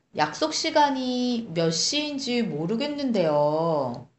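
Amid audible room echo, a woman with a high pitch speaks very slowly with very wide pitch swings. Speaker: Korean language podcast co-host. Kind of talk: language lesson chat.

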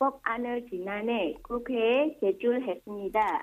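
A woman talks in a high-pitched voice. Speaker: foreign news correspondent. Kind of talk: news reading.

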